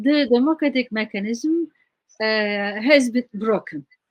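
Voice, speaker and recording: A woman with a Turkish accent speaks at a fairly slow pace. Her pitch sits fairly high, and her intonation is lively. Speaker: scholar. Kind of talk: interview. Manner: halting.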